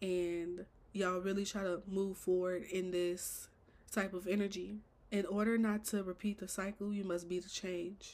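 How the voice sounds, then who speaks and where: A woman at a medium pitch speaks with monotone, flat intonation. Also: moderate pace. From Chicago. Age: 20s. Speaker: podcast host. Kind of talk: casual monologue.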